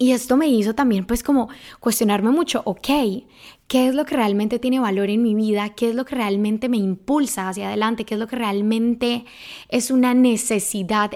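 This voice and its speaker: A woman's normal speaking voice, fairly high in pitch with ordinary pitch variation, at a moderate pace, in a very clean recording with a silent background. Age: 20s. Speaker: podcast host, personal growth coach. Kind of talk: solo podcast monologue. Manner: casual, with many fillers.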